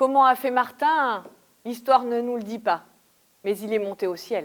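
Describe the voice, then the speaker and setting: Using a plain, everyday voice, a woman with a fairly high pitch and ordinary pitch variation speaks at a fairly slow pace. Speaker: storyteller. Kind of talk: live stage storytelling.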